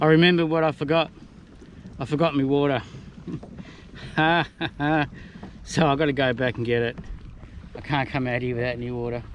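Over light background noise, a man talks at a moderate pace with fairly even intonation and long, frequent pauses, his voice dry with no echo. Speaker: solo kayak angler vlogger. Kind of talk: casual vlog chat. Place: boat. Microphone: phone near.

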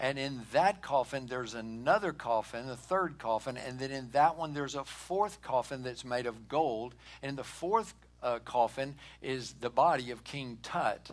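Ordinary pitch variation from a man at a moderate pace. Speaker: pastor. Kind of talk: sermon. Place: church.

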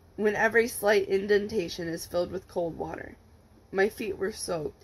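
Pitch moves with ordinary variation. The delivery is a natural reading voice.

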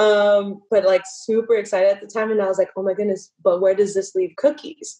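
A woman with an American accent speaks at a fairly quick pace with hardly any pauses, her medium-pitched voice dark and mellow in tone, her intonation fairly even, and the background quiet. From California. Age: 20s. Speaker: professional dancer and dance instructor; podcast guest. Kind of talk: casual interview. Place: home room. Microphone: video call.

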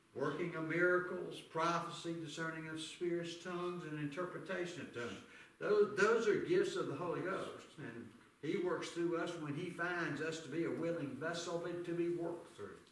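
Fairly even intonation carries through audible room echo. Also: man, high pitch for a man, moderate pace. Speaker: preacher teaching a class. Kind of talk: sermon. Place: church. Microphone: camera far.

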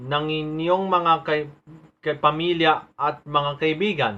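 A man's fairly high-pitched voice at a very slow pace, with ordinary pitch variation. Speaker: poet. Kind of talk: spoken word poetry.

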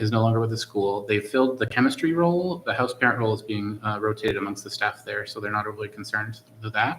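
Here a man speaks at a very fast pace with hardly any pauses. His pitch is fairly low. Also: ordinary pitch variation. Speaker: school committee member. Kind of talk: committee meeting report.

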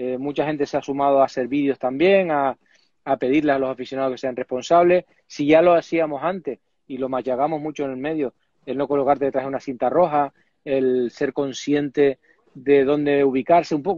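With fairly even intonation, a man talks at a fairly quick pace in a dry sound with no echo and a quiet background. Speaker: remote guest, rally commentator. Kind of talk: interview answer. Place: office. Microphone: earbuds.

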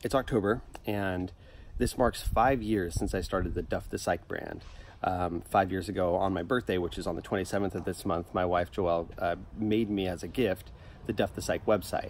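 A man's very deep, low voice at a moderate pace, with ordinary pitch variation, a dry sound with no echo and light background noise. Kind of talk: casual vlog chat. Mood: relaxed, upbeat. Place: garden.

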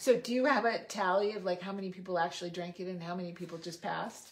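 Speech in a Californian accent races at a very fast pace with hardly any pauses. Loudness swings widely while pitch varies in an ordinary way. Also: woman. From US West Coast, Los Angeles area (Monterey Park). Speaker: podcast host. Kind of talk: interview. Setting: on location at guest's home in the desert. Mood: warm, curious. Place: home room. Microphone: phone near.

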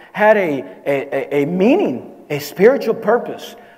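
A man speaks at a fairly slow pace with very wide pitch swings. Noticeable background noise and audible room echo surround him. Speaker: pastor. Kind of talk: sermon. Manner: halting, many repetitions.

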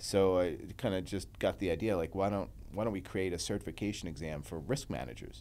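With an American accent, a man speaks at a very deep, low pitch in a dark, mellow tone with vocal fry and lively intonation. He moves at a fairly quick pace with hardly any pauses over light background noise. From US Northeast (New York and New Jersey). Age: 40s. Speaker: entrepreneur and business executive. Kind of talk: casual interview. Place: studio. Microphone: studio mic.

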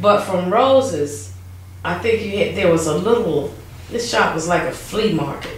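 In a North Carolina accent, a woman speaks at a fairly slow pace with lively intonation, with audible room echo and light background noise. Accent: US Southern (North Carolina). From Wilson, North Carolina. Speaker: oral history interviewee; interviewee. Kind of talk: oral history interview. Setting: museum. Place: office. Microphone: camera far.

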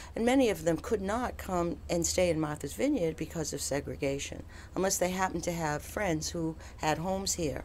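A woman with a very deep, low pitch and vocal fry talks at a moderate pace. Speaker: innkeeper. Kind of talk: oral history interview answer.

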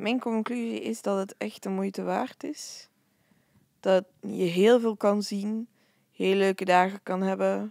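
A woman's medium-pitched voice in a Flemish accent, very slow with fairly even intonation, in a dry, close sound with no echo on a very clean recording with a silent background. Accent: Flemish Dutch. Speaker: festival-goer and podcast co-presenter. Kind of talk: casual chat.

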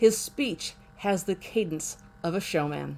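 A woman's voice shows vocal fry and ordinary pitch variation. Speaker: history channel host. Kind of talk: documentary narration. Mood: warm, enthusiastic. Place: home room. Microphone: webcam.

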